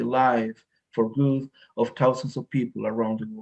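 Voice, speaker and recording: A man speaks at a moderate pace with a medium-pitched voice. His intonation stays flat and monotone. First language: Spanish. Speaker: facilitator. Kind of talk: casual interview chat. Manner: halting, many repetitions and fillers.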